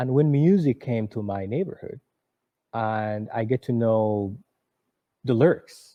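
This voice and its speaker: A man with a Somali accent speaks at a fairly slow pace, his pitch sitting in the middle range. His pitch varies in an ordinary way, broken by long, frequent pauses. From Somalia, Mogadishu. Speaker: author and former refugee. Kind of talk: interview. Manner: halting, with many repetitions.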